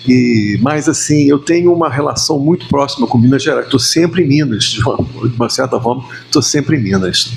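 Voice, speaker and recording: Talking fairly quickly with hardly any pauses, a man with a fairly high voice keeps his loudness very even and his pitch variation ordinary over noticeable background noise. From Rio de Janeiro. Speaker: musician. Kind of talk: podcast interview answer. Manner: casual, conversational.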